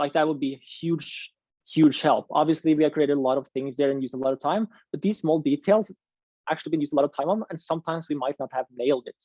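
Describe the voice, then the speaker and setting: This speaker has a non-native accent. The pace is very fast. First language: not English. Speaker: ski coaching presenter. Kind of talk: online coaching workshop.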